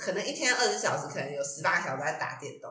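Very fast speech amid noticeable background noise and audible room echo. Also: woman. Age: 20s. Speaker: podcast co-host. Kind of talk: casual chat.

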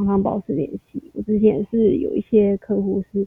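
With fairly even intonation and a medium pitch, a woman talks at a moderate pace. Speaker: salesperson. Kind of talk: casual interview.

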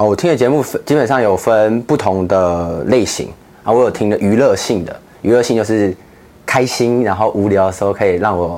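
Here is a man with an ordinary speaking voice and a fairly low pitch. He talks at a moderate pace with lively intonation. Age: 20s. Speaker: ministry project coordinator. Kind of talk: interview.

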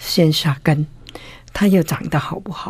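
With a Cantonese accent, a woman speaks very slowly in a fairly low, somewhat breathy voice with a dark, mellow tone. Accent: Cantonese-accented Mandarin. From Hong Kong. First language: Cantonese (speaking Chinese). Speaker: art collector and author. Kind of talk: interview.

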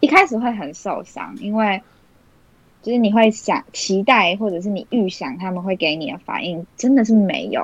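In a quiet background, a woman speaks at a moderate pace and a medium pitch. It is a plain, everyday voice with ordinary pitch variation. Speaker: university student. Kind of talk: casual chat.

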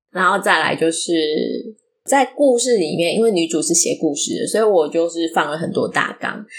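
Here a woman speaks at a moderate pace in a fairly low pitch. Her intonation is lively. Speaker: podcast host and fiction writer. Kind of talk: casual solo talk on writing.

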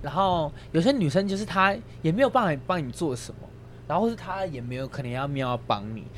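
Speaking at a very fast pace, a man uses a fairly high pitch. His voice makes very wide pitch swings. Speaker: podcast co-host. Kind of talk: casual chat.

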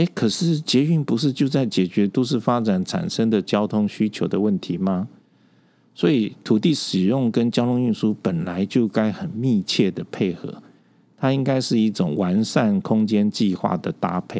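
A man with a dark, mellow tone talks at a fairly slow pace in a fairly low pitch, his intonation lively. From Taipei, Taiwan. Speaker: urban planning professor. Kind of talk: interview.

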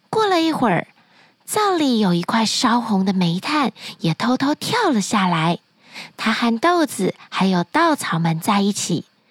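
A woman with a fairly high pitch speaks at a fairly slow pace, her loudness very even and her pitch swinging very widely, in a dry, close sound with no echo. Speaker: children's storyteller podcast host. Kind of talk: bedtime storytelling. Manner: soft-spoken.

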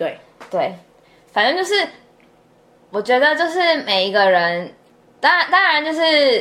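A woman's high-pitched, raised and projected voice, fairly slow, with very wide pitch swings and long, frequent pauses. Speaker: podcast co-host, student abroad. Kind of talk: casual chat.

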